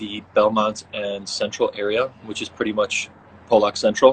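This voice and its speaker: This man's fairly low voice sounds monotone and flat as he talks fairly slowly. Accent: Chicago. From US Midwest, Chicago. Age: 20s. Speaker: professional soccer player. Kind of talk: casual interview chat.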